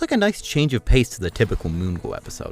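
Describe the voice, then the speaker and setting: Background music accompanies the voice. The pace is very fast. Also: man. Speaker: cartoon reviewer. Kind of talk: video review commentary. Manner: loud.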